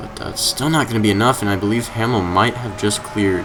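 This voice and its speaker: A man with a fairly low pitch talks at a fairly quick pace amid noticeable background noise and audible room echo. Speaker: sim racing commentator. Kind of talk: live commentary. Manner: fast; hesitant, many fillers.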